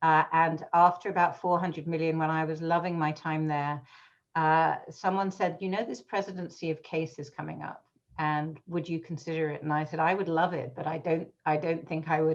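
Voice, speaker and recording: With a British accent, a woman speaks in a fairly low voice at a moderate pace. Her intonation is monotone and flat, and the background is quiet. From England, London. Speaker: education association executive. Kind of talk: interview conversation. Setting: video call.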